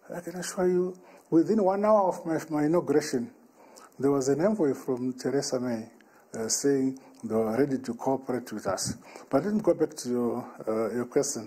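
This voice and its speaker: Speaking in a Zimbabwean accent, this man has a fairly high pitch and a dark, mellow tone. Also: lively intonation, moderate pace. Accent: Zimbabwean Shona. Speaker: head of state. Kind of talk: interview answer. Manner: hesitant, many filler sounds.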